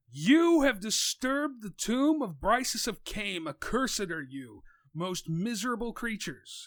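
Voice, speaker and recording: In a loud, put-on character voice, a man speaks at a high pitch on a very clean recording with a silent background. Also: moderate pace. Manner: menacing.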